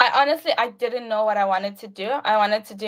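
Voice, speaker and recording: At a fairly quick pace, a woman with a slight South African accent talks using ordinary pitch variation. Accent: South African, lighter than hometown. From South Africa, Limpopo. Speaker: university student. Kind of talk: casual chat. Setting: livestream video call. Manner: casual, filler-heavy.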